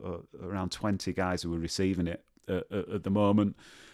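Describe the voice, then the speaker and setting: In a Yorkshire accent, a man speaks with a very deep, low pitch. His intonation is fairly even. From northern England, Leeds. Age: 40s. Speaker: nursing professor. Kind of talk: casual chat.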